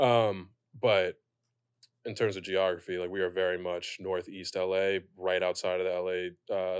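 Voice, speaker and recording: A man's very deep, low voice in a monotone, flat intonation, over a quiet background. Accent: American. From Pasadena, California, West Indian family. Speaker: former college football player. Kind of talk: casual chat. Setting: studio.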